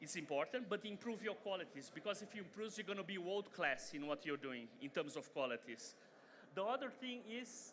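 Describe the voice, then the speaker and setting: Loud and animated, a man speaks at a high pitch and moderate pace, his bright, sharp tone moving through very wide pitch swings. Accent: non-native. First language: not English. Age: old. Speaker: data science company partner, conference speaker. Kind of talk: keynote talk.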